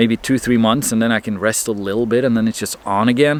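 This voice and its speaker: A man's medium-pitched voice with a Norwegian accent, over noticeable background noise. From Norway. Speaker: marine mechanic vlogger. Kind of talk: casual vlog monologue. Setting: by a fireplace.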